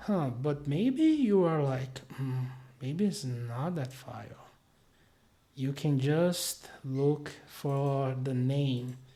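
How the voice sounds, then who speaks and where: A somewhat breathy man with a dark, mellow tone, at a very slow pace with long, frequent pauses, in audible room echo. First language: not English. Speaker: web developer, tutorial creator. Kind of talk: screen-share tutorial. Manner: hesitant, many fillers.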